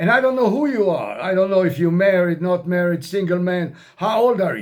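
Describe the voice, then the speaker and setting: Speaking with an American accent, a man has a high pitch and ordinary pitch variation. He goes at a fairly quick pace over noticeable background noise. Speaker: retired expat vlogger. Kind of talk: casual vlog monologue. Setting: self-recorded on camera. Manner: informal, repetitive, some hesitations.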